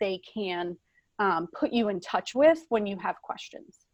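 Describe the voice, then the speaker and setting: A woman with a plain, everyday voice, fairly high in pitch, at a moderate pace over a quiet background. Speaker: school HR and payroll administrator. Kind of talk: conference presentation. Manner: frequent filler words.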